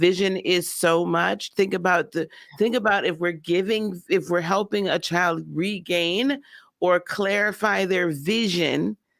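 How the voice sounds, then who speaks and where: In a very clean recording with a silent background, a man with an American accent and a high pitch speaks at a fairly slow pace. His tone is animated, and his loudness stays very even. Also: ordinary pitch variation. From Wisconsin. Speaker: summit host. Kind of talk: live event hosting.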